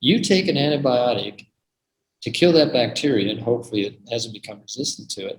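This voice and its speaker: With a moderate pace and lively intonation, a man speaks. There is some breathiness in his voice. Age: 70s. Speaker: medical doctor giving product presentation. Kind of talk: online presentation with Q&A. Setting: video call. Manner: animated.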